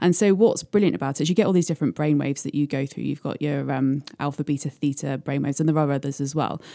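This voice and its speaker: A woman with a very deep, low pitch, a dark, mellow tone and a British accent, at a very fast pace with hardly any pauses, ordinary pitch variation, and a very clean recording with a silent background. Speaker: hypnotherapist. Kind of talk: interview explanation. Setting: studio.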